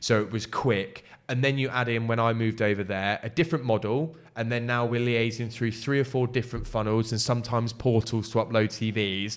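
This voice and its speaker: A man at medium pitch, fairly quick, with hardly any pauses and fairly even intonation. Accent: English. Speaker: recruitment consultant. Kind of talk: casual chat. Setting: shared office space.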